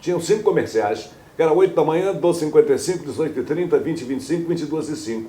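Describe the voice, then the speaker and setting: A high-pitched man at a very fast pace with ordinary pitch variation. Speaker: radio news announcer. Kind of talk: interview answer. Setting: home living room.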